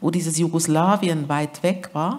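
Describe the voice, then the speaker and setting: A woman at a very slow pace, fairly low in pitch, with a slight Swiss German accent. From Switzerland. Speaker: author. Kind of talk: literary event conversation.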